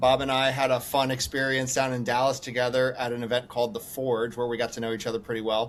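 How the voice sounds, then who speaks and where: A man at a medium pitch talks at a very fast pace in a monotone, flat intonation over noticeable background noise. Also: hardly any pauses. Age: 40s. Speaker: podcast host. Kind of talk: casual interview.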